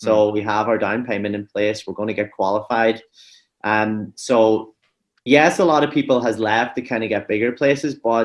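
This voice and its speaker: The speaker has a Donegal Irish accent and a fairly even intonation. The pace is moderate, and the background is quiet. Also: man, medium pitch for a man. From Donegal, Ireland. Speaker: real estate broker. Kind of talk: podcast interview answer.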